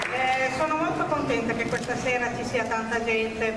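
There is audible room echo and noticeable background noise. Through it, a woman speaks in a high voice. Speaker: event host or organizer. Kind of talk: short public address to an audience. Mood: moved, grateful. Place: stage. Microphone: handheld.

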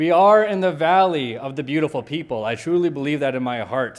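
A man speaks with ordinary pitch variation. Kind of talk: welcome speech. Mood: warm, welcoming, jovial. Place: hall. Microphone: podium.

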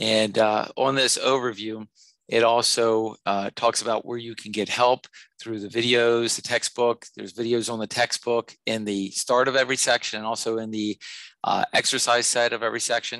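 Recorded dry with no echo, a man speaks in a monotone, flat way. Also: moderate pace, quiet background. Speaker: math instructor. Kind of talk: tutorial. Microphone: headset.

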